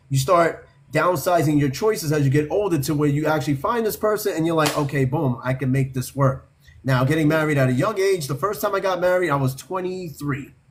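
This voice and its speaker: A man's normal speaking voice, fairly high in pitch and fairly quick, with ordinary pitch variation and very even loudness. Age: 40s. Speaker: podcast host. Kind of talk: casual chat.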